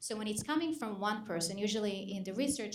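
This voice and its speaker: Over audible room echo, a woman speaks at a very fast pace. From Israel. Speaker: psychologist. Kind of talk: panel discussion.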